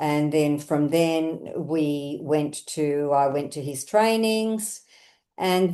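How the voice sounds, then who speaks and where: A woman speaks in a fairly low voice with a dark, mellow tone and an Australian accent. The background is quiet. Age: 70s. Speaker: running coach. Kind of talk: casual interview.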